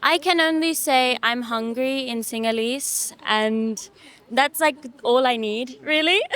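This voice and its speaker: A woman with a London accent speaks at a very slow pace in a high pitch with ordinary pitch variation. Noticeable background noise sits behind her. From London, England. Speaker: singer. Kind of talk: interview.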